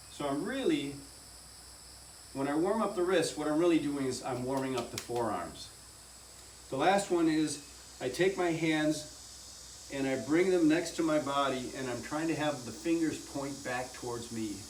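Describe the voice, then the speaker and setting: With long, frequent pauses, a man with a fairly high pitch speaks at a moderate pace and with ordinary pitch variation, over noticeable background noise and audible room echo. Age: 60s. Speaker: fitness instructor. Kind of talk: tutorial.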